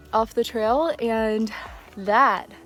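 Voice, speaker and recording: With music in the background, a woman speaks at a fairly high pitch. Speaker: hiker. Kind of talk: casual talk to camera. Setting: outdoors.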